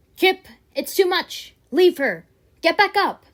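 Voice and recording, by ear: A woman uses a put-on character voice pitched extremely high, speaking at a fairly slow pace. The recording is very clean, with a silent background. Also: ordinary pitch variation.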